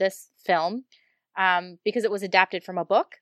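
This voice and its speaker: On a very clean recording with a silent background, a woman in a normal speaking voice talks at a medium pitch and moderate pace, her intonation fairly even and the sound dry and close with no echo. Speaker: foreign correspondent, guest. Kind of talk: casual podcast chat.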